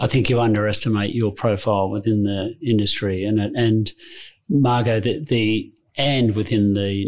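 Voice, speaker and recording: A man speaks with an Australian accent at a moderate pace and very even loudness. The recording is very clean, with a silent background. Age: 50s. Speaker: insurance broker executive. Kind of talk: interview.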